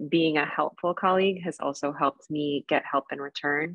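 A woman speaks in a very deep, low voice with monotone, flat intonation. The sound is dry with no echo, and the background is quiet. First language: Spanish. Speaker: emergency physician and researcher; panelist. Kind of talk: panel discussion. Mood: reflective, warm. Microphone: video call.

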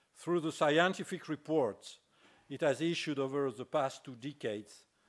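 A man with a French accent and ordinary pitch variation, over a quiet background. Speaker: business school dean. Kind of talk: formal introduction speech. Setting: stage with audience. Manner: formal. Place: hall. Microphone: podium.

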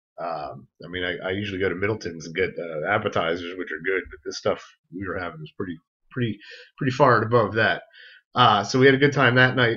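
Against a quiet background, a man with an ordinary speaking voice talks at a fairly quick pace and a fairly low pitch, showing ordinary pitch variation and big swings in loudness. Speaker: podcast host. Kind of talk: casual podcast storytelling.

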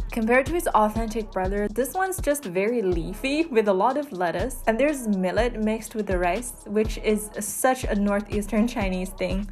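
Backed by music, a woman with a fairly high pitch talks at a moderate pace. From China. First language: Chinese. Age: 20s. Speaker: food vlogger. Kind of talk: food tour vlog narration.

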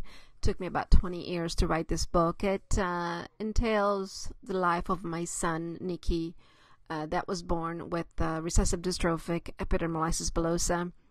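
A woman speaks in a flat, monotone way at a fairly low pitch, with a non-native accent. The background is quiet. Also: moderate pace, big swings in loudness. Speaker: author; mother of a child with a skin disease. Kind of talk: casual talk to camera.

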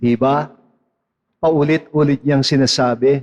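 A man talks at a fairly high pitch. He keeps a fairly slow pace. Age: 60s. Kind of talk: sermon.

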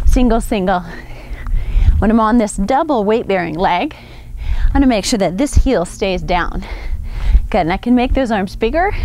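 With lively intonation and long, frequent pauses, a woman speaks at a moderate pace in a dry sound with no echo over light background noise. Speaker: fitness instructor. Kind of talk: workout instruction. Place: open country.

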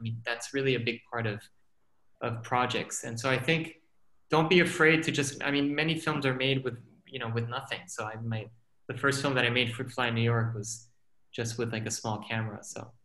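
Here a man with a medium pitch speaks at a fairly quick pace with ordinary pitch variation. His tone is bright and sharp, with audible room echo. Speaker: filmmaker and scientist; guest. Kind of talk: panel discussion. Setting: video call. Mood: relaxed, reflective. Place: home room. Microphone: video call.

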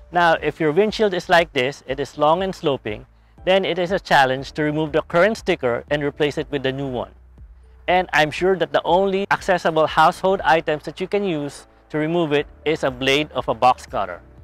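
Fairly quick speech from a man with ordinary pitch variation, dry with no echo, over faint music in the background. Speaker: how-to channel host. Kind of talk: tutorial. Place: street. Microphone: lapel.

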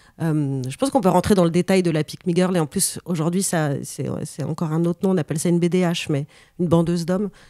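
A woman with a dark, mellow tone and fairly low pitch speaks at a fairly quick pace with ordinary pitch variation. The very clean recording has a silent background and a dry, close sound with no echo. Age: 40s. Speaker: journalist and author. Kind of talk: interview.

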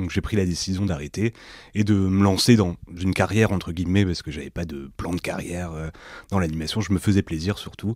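A man speaks in a plain, everyday voice with a fairly low pitch and ordinary pitch variation. The sound is dry and close, with no echo. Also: very clean recording, silent background. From northern France, Lille. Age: 30s. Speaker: entrepreneur and workshop leader. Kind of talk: casual interview.

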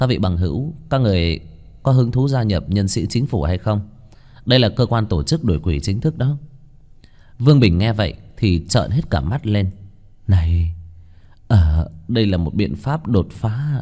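A man's dark, mellow tone at a fairly low pitch, with very wide pitch swings, a moderate pace and long, frequent pauses, over a quiet background. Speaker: story narrator. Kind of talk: audiobook story reading. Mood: lively, playful narration. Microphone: studio mic.

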